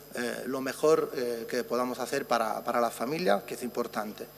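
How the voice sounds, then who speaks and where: Someone with an Italian accent speaks at a moderate pace with ordinary pitch variation, noticeable background noise behind them. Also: man. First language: Italian (speaking Spanish). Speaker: physician researcher. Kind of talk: conference talk.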